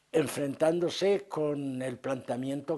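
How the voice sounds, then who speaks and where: Fairly high-pitched for a man yet dark and mellow in tone, his voice moves at a fairly slow pace. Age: 80s+. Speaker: retired freemason. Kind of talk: interview. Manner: halting.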